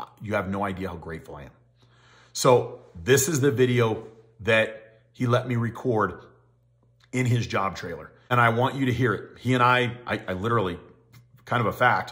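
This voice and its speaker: A man speaks fairly quickly, with ordinary pitch variation, and the background is quiet. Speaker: equipment rental sales trainer. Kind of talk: casual vlog chat. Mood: earnest, grateful storytelling. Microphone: phone near.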